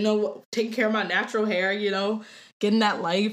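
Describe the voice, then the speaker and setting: With an American accent, a woman speaks at a fairly quick pace and medium pitch in an unremarkable speaking voice. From Ohio, Cleveland. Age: 20s. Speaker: opera voice student. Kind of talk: casual chat.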